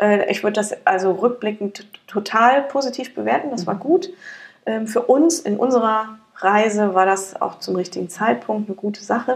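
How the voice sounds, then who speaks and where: A woman talks at a moderate pace in a fairly high pitch. Her pitch varies in an ordinary way. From Germany, near Frankfurt (Hesse). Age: 40s. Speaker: company founder. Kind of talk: interview. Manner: hesitant, many fillers.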